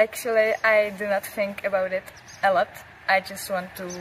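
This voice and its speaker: A woman speaks fairly slowly at medium pitch, her intonation monotone and flat. Noticeable background noise runs underneath. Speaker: junior orienteering champion. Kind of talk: interview.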